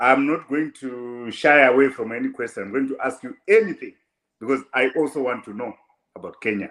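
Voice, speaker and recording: Medium-pitched male speech, fairly quick, with ordinary pitch variation and big loudness swings. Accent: Zimbabwean. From Zimbabwe. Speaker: online show host. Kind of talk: interview.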